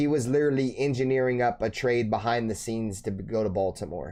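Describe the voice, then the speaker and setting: A man speaks with an American accent. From Bay Area, Northern California. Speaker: sports streamer, football fan host. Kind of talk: live stream reaction commentary, casual. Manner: casual, slangy.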